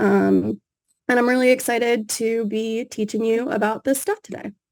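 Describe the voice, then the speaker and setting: A woman with a fairly high voice speaks at a moderate pace with fairly even intonation. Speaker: developer advocate, workshop instructor. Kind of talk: online workshop presentation.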